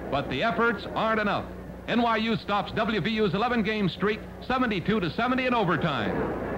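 A man with a high pitch speaks at a very slow pace in an upbeat, dramatic tone. His loudness stays very even over noticeable background noise. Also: ordinary pitch variation. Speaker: sports newsreel narrator. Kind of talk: 1950s sports newsreel narration, voiceover over game footage. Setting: voiceover on archival film. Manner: brisk, punchy, clipped play-by-play delivery; upbeat, dramatic, quip-laden, excited at big moments.

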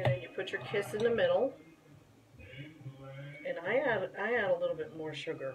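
The delivery is moderately paced. Background music accompanies it. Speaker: home baker. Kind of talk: casual cooking tutorial to camera.

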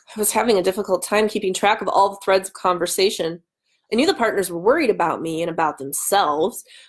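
Pitch varies in an ordinary way while someone is reading aloud in a natural voice. Nothing can be heard behind the voice.

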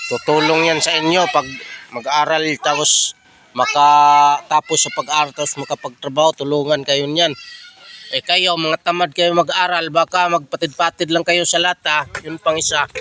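A man speaks at a moderate pace in a monotone, flat intonation, with fairly high pitch. The sound is dry and close with no echo, though background noise is noticeable. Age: old. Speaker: vlogger. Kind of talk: casual chat.

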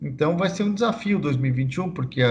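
A man's somewhat breathy voice at a moderate pace with ordinary pitch variation. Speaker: guest. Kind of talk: interview answer. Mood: serious, calm.

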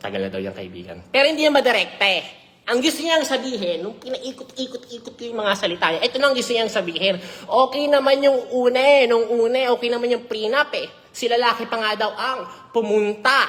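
Over noticeable background noise, a woman talks at a fairly quick pace in a high pitch, her tone animated and her pitch variation ordinary. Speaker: celebrity gossip vlogger. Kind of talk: gossip commentary vlog.

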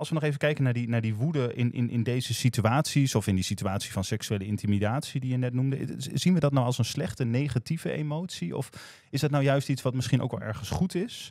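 Over a quiet background, a man talks at a very fast pace with ordinary pitch variation, the sound dry with no echo. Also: medium pitch for a man. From Groningen, Netherlands; Netherlands. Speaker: podcast host. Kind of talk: casual chat. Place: studio. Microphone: studio mic.

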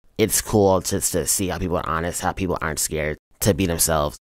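Very clean and silent in the background, this recording has a man with an American accent speaking at a very fast pace in a very deep, low pitch with vocal fry and ordinary pitch variation. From US South, Charlotte, North Carolina. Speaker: student journalist. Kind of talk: personal profile interview.

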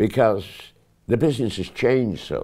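A man's dark, mellow tone with vocal fry, over a quiet background. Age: 80s+. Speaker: actor. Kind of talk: interview answer. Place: home room. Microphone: lapel.

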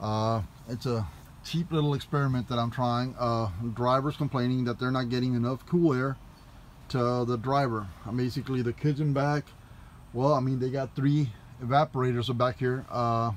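Against light background noise, a man speaks at a moderate pace with fairly even intonation and long, frequent pauses. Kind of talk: casual tutorial vlog. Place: bus. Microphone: phone near.

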